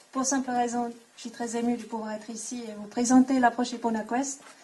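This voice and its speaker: A woman with a fairly high pitch speaks in a monotone, flat intonation at a fairly slow pace over noticeable background noise. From Switzerland. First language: not French (speaking French). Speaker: equine coaching instructor. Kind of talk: conference talk. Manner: halting.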